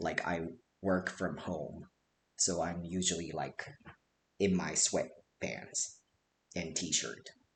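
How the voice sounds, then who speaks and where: A man's very deep, low voice at a very slow pace, with long, frequent pauses. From Japan. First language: Japanese. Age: 30s. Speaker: streamer giving an educational presentation. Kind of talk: presentation. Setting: livestream. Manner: casual with many fillers.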